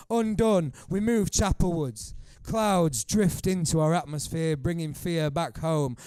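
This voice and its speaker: At a fairly slow pace, a dark, mellow tone carries ordinary pitch variation on a very clean recording with a silent background. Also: man. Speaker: poet. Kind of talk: poetry reading. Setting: live bar performance.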